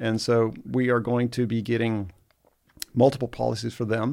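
Delivered at a moderate pace, the speech has a monotone, flat intonation on a very clean recording with a silent background. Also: man. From Egypt (American expatriate). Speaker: real estate investor. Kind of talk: casual interview.

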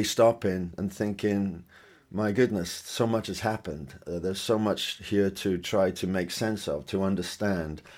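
This man speaks with a Welsh accent. His pitch sits fairly low. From Wales. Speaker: singer-songwriter. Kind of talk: interview. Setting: video call from home studio. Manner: halting, repeats words.

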